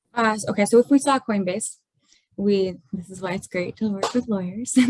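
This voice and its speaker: Somewhat breathy and at medium pitch, a woman speaks with big swings in loudness. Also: ordinary pitch variation, moderate pace. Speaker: forensic accountant. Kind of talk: webinar explanation. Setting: video webinar.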